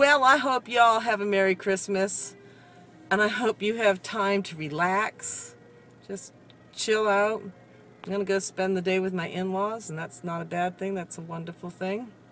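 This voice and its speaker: Over music in the background, a woman speaks at a medium pitch, her loudness swinging widely. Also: ordinary pitch variation, moderate pace. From Massachusetts, Cape Cod. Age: 40s. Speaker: retail worker vlogger. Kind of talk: casual vlog monologue. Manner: rambling, conversational.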